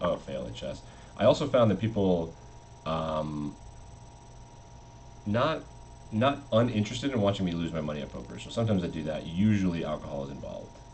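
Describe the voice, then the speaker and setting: This man's pitch is very deep and low, with very wide swings. He speaks at a fairly quick pace, and audible room echo surrounds his voice. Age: 30s. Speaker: chess streamer. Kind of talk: casual live-stream commentary.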